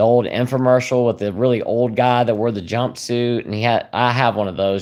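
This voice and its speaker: A man talks with a Southern US accent at a fairly quick pace. His voice sits fairly low. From South Carolina. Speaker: YouTuber sharing liver disease recovery. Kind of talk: livestream chat reading comments. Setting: live stream. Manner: relaxed, hesitant with fillers.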